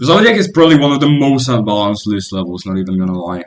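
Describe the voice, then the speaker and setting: A man at a very fast pace with lively intonation, in audible room echo. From Poland. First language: Polish. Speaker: gaming streamer. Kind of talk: casual live-stream chat while gaming. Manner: casual, with fillers and restarts.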